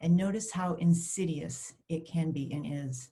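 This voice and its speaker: Fairly low, somewhat breathy woman's voice with a dark, mellow tone, ordinary pitch variation and a fairly slow pace. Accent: American. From US Northeast, Maine. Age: 50s. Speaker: clergy person. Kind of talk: testimony. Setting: virtual summit video. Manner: read from a script.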